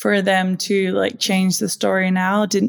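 A woman with a Danish accent at medium pitch, her intonation fairly even and her pace fairly slow. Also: very clean recording, silent background. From Denmark. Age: 20s. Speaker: donor-conceived advocate. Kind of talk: interview.

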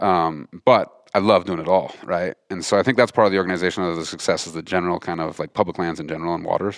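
In an American accent, the speech runs at a very fast pace with hardly any pauses and fairly even intonation, on a very clean recording with a silent background. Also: man, very deep, low pitch for a man. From mountain West US. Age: 40s. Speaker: hunting and fishing conservation group leader. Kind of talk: casual chat.

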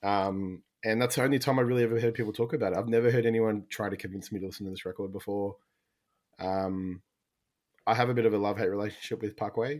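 A man with an Australian accent talks at a very fast pace. His pitch is fairly low and his intonation fairly even. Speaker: podcast co-host.

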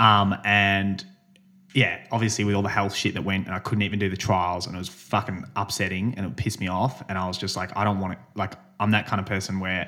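With an Australian accent, a man talks in a fairly low, bright, sharp voice with monotone, flat intonation. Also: fairly quick pace. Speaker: podcast host and amateur runner. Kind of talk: casual chat.

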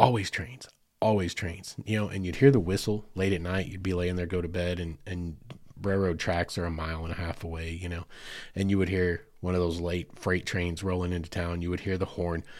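On a very clean recording with a silent background, a man with an Arkansas accent talks fairly quickly in a very deep, low pitch with monotone, flat intonation. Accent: US South (Arkansas). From western Arkansas, Fort Smith area. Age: 40s. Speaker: podcast host. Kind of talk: casual storytelling monologue.

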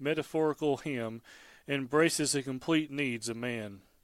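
In an ordinary speaking voice, a man with a fairly high pitch and ordinary pitch variation speaks at a fairly slow pace, recorded very cleanly against a silent background. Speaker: devotional speaker. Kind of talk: scripture reading then devotional commentary.

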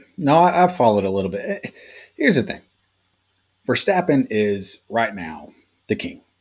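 With vocal fry and a fairly high pitch, a man speaks at a moderate pace with long, frequent pauses, very wide pitch swings and big swings in loudness. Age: 40s. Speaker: sports podcast co-host. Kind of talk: casual chat.

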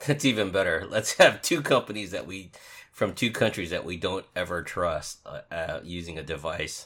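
A man speaks at a moderate pace with big swings in loudness. The recording is very clean, the background silent. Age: 50s. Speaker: information security podcast co-host. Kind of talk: casual chat.

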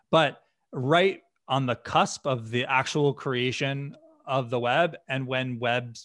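A man with an American accent speaks in a normal speaking voice at medium pitch, with ordinary pitch variation. The background is quiet. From US Northeast, western Massachusetts. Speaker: software company founder and executive. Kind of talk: podcast interview.

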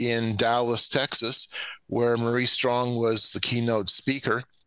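With noticeable background noise behind him, a man speaks at a medium pitch and a moderate pace. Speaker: researcher and lecturer. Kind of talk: interview discussion.

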